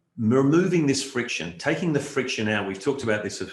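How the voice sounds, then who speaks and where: Somewhat breathy and with lively intonation, a man speaks at a very fast pace in an Australian accent. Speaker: keynote speaker, marketing strategist. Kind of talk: virtual conference keynote. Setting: virtual online event. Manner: conversational with frequent fillers.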